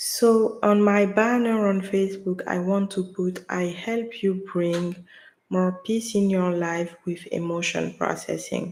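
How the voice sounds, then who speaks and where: A woman's medium-pitched voice in a French accent, with monotone, flat intonation and a very slow pace. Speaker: livestreamer, wellness content creator. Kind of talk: casual livestream talk. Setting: live stream at home. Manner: halting, with pauses and silences. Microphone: USB mic, sound issue if touched.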